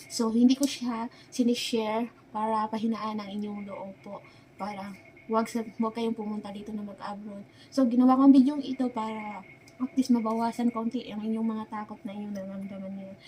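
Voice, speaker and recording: Fairly quick, monotone speech with flat intonation and big swings in loudness, over noticeable background noise. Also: woman, fairly high pitch for a woman. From Philippines. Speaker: vlogger, domestic worker abroad. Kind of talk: casual vlog talk to camera. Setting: indoors beside a kitchen.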